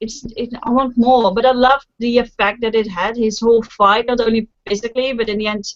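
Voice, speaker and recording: Speaking with a non-native accent, a woman talks at a moderate pace in a high voice. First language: not English. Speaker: book vlogger. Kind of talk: casual chat.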